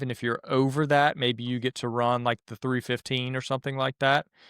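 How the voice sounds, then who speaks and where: A man speaks at a moderate pace in a medium pitch, with monotone, flat intonation. The sound is dry and close with no echo, on a very clean recording with a silent background. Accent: slight Southern US. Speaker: podcast co-host and time attack racer. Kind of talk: casual podcast chat.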